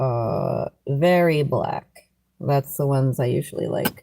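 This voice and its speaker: A woman speaks with a very deep, low pitch and a dark, mellow tone. Her intonation is lively. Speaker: live streamer. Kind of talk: casual chat. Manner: animated.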